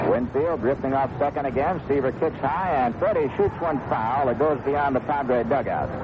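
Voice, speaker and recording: A fairly high-pitched man at a moderate pace, hardly any pauses, ordinary pitch variation, very even loudness, and noticeable background noise. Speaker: baseball radio play-by-play announcer. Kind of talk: live baseball radio play-by-play commentary.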